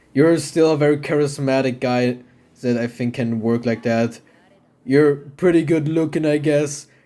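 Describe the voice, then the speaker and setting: Here a man speaks at a moderate pace with a non-native accent and fairly even intonation. His fairly high voice has a dark, mellow tone. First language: not English. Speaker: gaming YouTuber, host. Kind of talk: casual chat.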